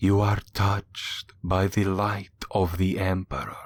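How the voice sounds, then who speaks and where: A man speaks at a fairly slow pace in a put-on character voice, fairly low in pitch, with monotone, flat intonation, on a very clean recording with a silent background. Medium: read story. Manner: fervent, believing.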